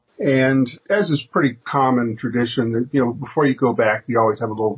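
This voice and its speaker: Very fast and at a very even loudness, a man with an American accent speaks in a somewhat breathy voice at a medium pitch. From United States. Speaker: businessman and physicist. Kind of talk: radio interview. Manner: halting.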